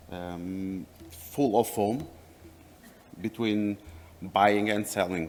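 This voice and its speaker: Speaking with a non-native accent, a man with a fairly low pitch talks at a very slow pace with ordinary pitch variation and long, frequent pauses. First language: not English. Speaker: company representative. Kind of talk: presentation. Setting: workshop with audience. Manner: halting.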